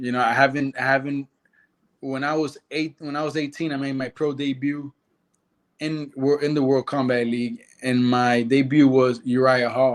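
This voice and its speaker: A man speaks with a Spanish accent. His intonation stays monotone and flat. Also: moderate pace, very clean recording, silent background. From Nicaragua. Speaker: karate fighter. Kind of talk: interview.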